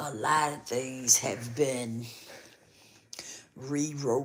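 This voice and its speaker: Set against audible room echo, a woman's voice sits at a very deep, low pitch. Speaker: YouTube livestream host. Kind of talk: casual livestream talk to viewers. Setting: live stream with avatar, not on camera. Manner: conversational, repetitive.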